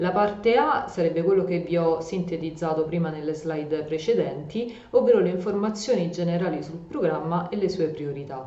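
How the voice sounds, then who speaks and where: Amid noticeable background noise and audible room echo, a woman speaks at a moderate pace with a fairly low pitch and ordinary pitch variation. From Rome, Italy. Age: 30s. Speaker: EU project consultant and educational youtuber. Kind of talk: tutorial. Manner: hesitant fillers.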